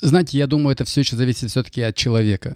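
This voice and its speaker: A man talks at a very fast pace with fairly even intonation. The sound is dry and close with no echo, and the recording is very clean with a silent background. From Kazakhstan (Kaskelen, near Almaty). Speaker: financial consultant and mortgage broker. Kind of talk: interview. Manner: halting.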